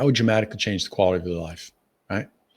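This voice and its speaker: A man with an American accent, very fast, animated and somewhat breathy. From Massachusetts. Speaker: speaking coach. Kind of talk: webinar sales pitch.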